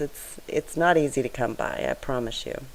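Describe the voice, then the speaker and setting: A soft-spoken woman talks in a very deep, low voice with ordinary pitch variation. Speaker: scrapbooking video creator. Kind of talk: tutorial voiceover. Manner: soft-spoken, straining to be loud; casual, chatty.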